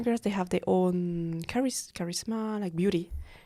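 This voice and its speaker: A woman speaks at a moderate pace with medium pitch and ordinary pitch variation. Her tone is dark and mellow. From French-speaking Switzerland. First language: French. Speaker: freelance model. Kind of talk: casual chat. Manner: halting.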